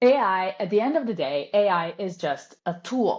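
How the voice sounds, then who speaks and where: A woman speaks fairly slowly, her intonation lively. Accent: Italian. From Italy. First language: Italian. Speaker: copywriter. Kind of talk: casual chat.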